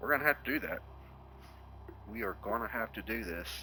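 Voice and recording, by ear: Speaking at a fairly quick pace with a Texan accent, a man has a fairly low pitch and a bright, sharp tone. His intonation is lively. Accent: Texan, Southern US.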